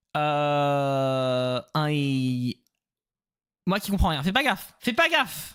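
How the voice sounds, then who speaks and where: A man speaks with a French accent. His pitch is high and his tone bright and sharp. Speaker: streamer. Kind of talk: casual chat. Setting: live stream. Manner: code-switching English and French with many fillers.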